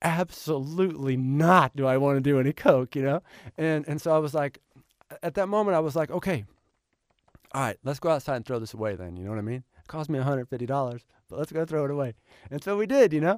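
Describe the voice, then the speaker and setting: Talking very fast with lively intonation and long, frequent pauses, a man with an American accent and a fairly high pitch sounds dry and close with no echo on a very clean recording with a silent background. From Oklahoma. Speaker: author and screenwriter. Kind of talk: interview. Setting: studio. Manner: halting, repeats words.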